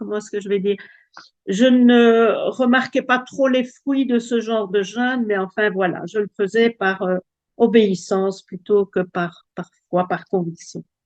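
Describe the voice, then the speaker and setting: Recorded with a dry, close sound and no echo, a woman with a Belgian accent speaks fairly slowly at a fairly high pitch with ordinary pitch variation. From Belgium. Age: 70s. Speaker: testimony giver. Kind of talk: testimony. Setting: video call. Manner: halting.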